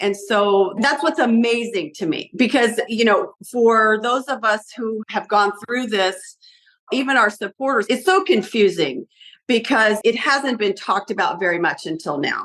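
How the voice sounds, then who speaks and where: A woman speaks in an unremarkable speaking voice at a fairly high pitch. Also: lively intonation. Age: 60s. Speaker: abuse survivor interviewee. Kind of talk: interview.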